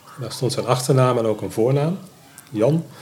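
A man's medium-pitched voice is heard amid noticeable background noise. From Netherlands, North Brabant (Schijndel). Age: 50s. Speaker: adoptee telling his life story. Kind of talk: interview, personal testimony. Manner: halting, many hesitations.

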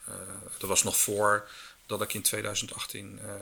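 A fairly low male voice, bright and sharp in tone, with vocal fry and monotone, flat intonation. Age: 50s. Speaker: circular economy business consultant. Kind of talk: interview.

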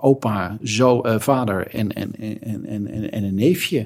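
Lively intonation marks this man's fairly low voice. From Netherlands, Alkmaar (North Holland). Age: 50s. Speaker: lawyer and football supporter. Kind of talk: casual chat. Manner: halting, repeats words.

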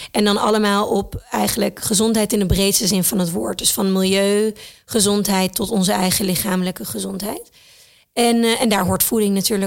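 Moderate pace and fairly even intonation from a woman, an unremarkable speaking voice at a medium pitch. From Thailand and the Netherlands. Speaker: entrepreneur and mother. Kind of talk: casual interview.

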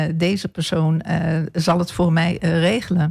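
A woman with a fairly low pitch talks at a fairly slow pace on a very clean recording with a silent background. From eastern Netherlands (Almelo, Apeldoorn). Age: 60s. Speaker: local politician. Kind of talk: radio interview. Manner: hesitant, many filler sounds.

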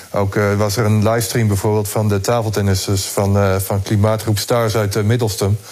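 The speech has monotone, flat intonation at a moderate pace. Noticeable background noise can be heard. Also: man. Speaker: sports reporter. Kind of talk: casual chat. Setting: remote connection from home.

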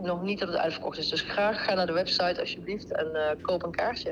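This woman speaks with a Brabant accent. Noticeable background noise runs behind her. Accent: Brabant Dutch. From Netherlands, North Brabant (Deurne near Eindhoven). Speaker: event board member. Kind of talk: casual interview.

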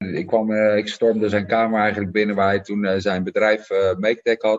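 Speaking at a moderate pace, this man has a medium pitch, fairly even intonation, and an ordinary speaking voice. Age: 30s. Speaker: startup founder. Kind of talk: interview. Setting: office.

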